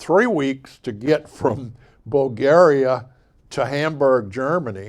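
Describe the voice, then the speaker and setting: Very slowly, a man with an American accent speaks at medium pitch. His pitch variation is ordinary. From Bay St. Louis, Mississippi. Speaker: local historian, artist, and musician. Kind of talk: author talk. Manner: casual, folksy.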